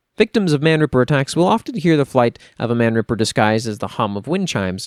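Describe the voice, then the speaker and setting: Recorded very cleanly against a silent background, a man with a normal speaking voice talks at medium pitch with lively intonation, the sound dry and close with no echo. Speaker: voice actor / lore reader and channel host. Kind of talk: dramatic horror-fantasy lore narration.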